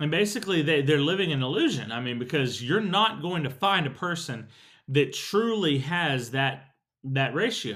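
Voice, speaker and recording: This is a normal speaking voice with an American accent, lively intonation and a moderate pace. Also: man, fairly high pitch for a man. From Texas. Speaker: podcast host. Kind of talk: solo podcast monologue.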